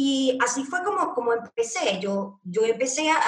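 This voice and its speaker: This woman's high voice moves at a moderate pace. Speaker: Instagram marketing strategist. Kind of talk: casual interview chat. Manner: loud, animated.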